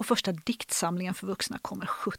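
A woman's normal speaking voice moves at a moderate speed, its pitch varying in an ordinary way. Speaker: literature lecturer. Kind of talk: literary discussion.

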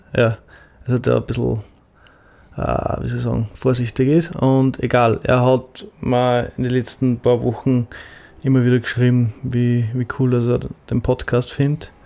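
A man with an Upper Austrian accent speaks at medium pitch in a dark, mellow tone with monotone, flat intonation. His pace is fairly slow, with long, frequent pauses. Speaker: podcast co-host. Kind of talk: casual chat.

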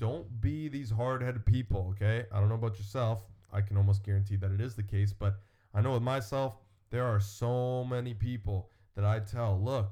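A man talks at a moderate pace in a fairly low, somewhat breathy voice with a dark, mellow tone and fairly even intonation. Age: 20s. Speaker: fitness podcast host. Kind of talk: casual chat.

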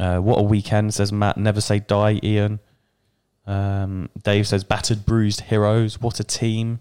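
A man's fairly low, dark, mellow voice in an English accent, fairly slow and monotone, with very even loudness on a very clean recording with a silent background. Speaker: football podcast host. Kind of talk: casual chat.

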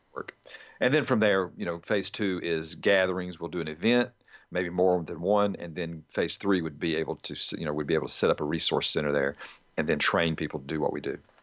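Speaking at a fairly quick pace, a man uses a very deep, low pitch with ordinary variation. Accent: Southern US. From Alabama. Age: 40s. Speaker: army chaplain and nonprofit founder. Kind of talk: casual interview.

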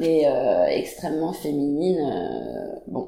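A woman's voice comes with audible room echo. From France and Denmark. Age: 30s. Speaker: painter. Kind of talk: casual chat. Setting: artist's studio. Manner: halting.

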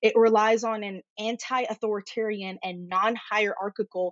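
A woman speaks in a Californian accent. Her intonation is monotone and flat. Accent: American (Californian). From Egyptian family, Los Angeles. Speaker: psychotherapist. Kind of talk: casual interview.

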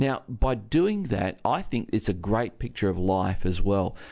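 In an Australian accent, a man with a fairly low voice talks at a moderate pace. His intonation is lively, and the background is quiet. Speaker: pastor. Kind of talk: radio talk segment.

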